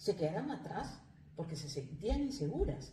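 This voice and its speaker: With very wide pitch swings and a fairly low pitch, a woman talks at a fairly slow pace while audible room echo fills the recording. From Peru. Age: 40s. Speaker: life coach, migrant. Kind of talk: interview. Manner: halting.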